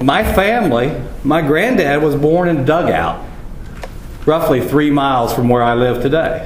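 Amid noticeable background noise and audible room echo, a man with an American accent speaks at a moderate pace, his fairly high voice swinging very widely in pitch. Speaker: rancher. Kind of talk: conference talk.

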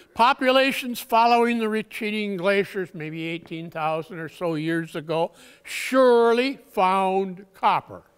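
In a quiet background, a man speaks at a fairly slow pace in a high pitch. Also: ordinary pitch variation. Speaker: conference presenter. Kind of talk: lecture. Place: hall.

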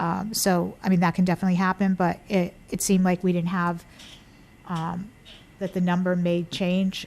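The speaker keeps a moderate pace and a monotone, flat intonation throughout. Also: woman, medium pitch for a woman. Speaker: town council chair. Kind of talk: council meeting discussion. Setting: town council meeting room, mic. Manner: hesitant, many fillers; louder than others.

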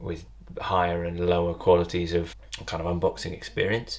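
Vocal fry in a British accent at a fairly quick pace. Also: man. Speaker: potter. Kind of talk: tutorial.

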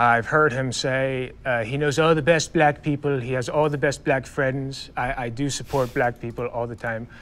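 A man with an American accent and a plain, everyday voice speaks at a moderate pace with hardly any pauses. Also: medium pitch for a man, fairly even intonation. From US Midwest, Ohio. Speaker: debate panelist. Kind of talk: debate.

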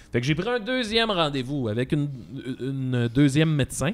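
A man speaks with very wide pitch swings. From Quebec. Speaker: comedian podcast co-host. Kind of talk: casual chat. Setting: studio. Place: studio. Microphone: studio mic.

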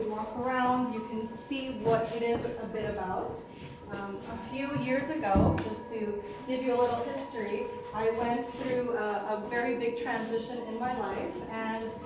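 Over noticeable background noise and strong room echo, the voice moves at a moderate pace. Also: woman. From Montreal, Canada. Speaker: interior designer. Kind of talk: launch event speech to a live audience. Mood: warm, heartfelt. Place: hall. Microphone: camera far.

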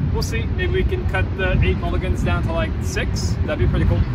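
Loud background noise surrounds a man talking at a fairly quick pace. The sound is dry, with no echo. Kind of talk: casual vlog chat. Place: open country.

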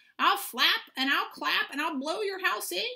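Putting on a character voice, a woman projects a shrill, menacing, extremely high-pitched voice at a moderate pace. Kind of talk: reading a picture book aloud. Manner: menacing, squawking.

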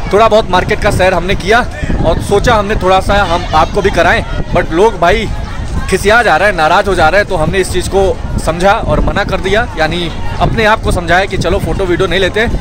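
A man talks at a moderate pace. The sound is dry with no echo, and music is clearly heard in the background. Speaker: travel vlogger. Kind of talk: casual vlog chat. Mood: chatty, slightly frustrated. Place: station. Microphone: phone near.

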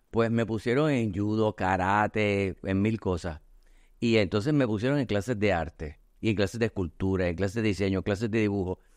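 A man speaks at a moderate pace with a fairly low pitch, ordinary pitch variation and very even loudness. The sound is dry with no echo, and the background is quiet. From Puerto Rico. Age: 50s. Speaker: artist and communications agency owner; podcast guest. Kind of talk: casual chat. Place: studio. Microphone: studio mic.

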